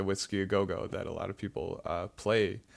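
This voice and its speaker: In an American accent, a man talks at a moderate pace. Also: very clean recording, silent background. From Illinois. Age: young. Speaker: aspiring filmmaker and screenwriter. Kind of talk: casual chat. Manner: halting.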